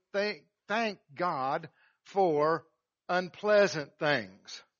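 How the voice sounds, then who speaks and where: This man talks with an American accent and lively intonation. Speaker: pastor. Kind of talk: sermon. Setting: church.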